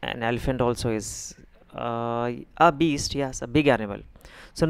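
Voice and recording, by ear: Ordinary pitch variation carries this reading aloud in a natural voice.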